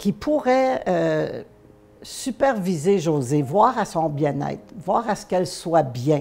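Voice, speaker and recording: A woman with a Quebec accent speaks at a very slow pace, her fairly low voice dark and mellow with vocal fry. Her pitch swings very widely. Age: 70s. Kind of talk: testimony. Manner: hesitant, many fillers.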